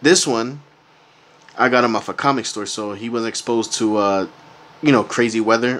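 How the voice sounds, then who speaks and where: At a moderate pace, a man talks over light background noise. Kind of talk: casual unboxing commentary. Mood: relaxed, pleased. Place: home room. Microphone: phone near.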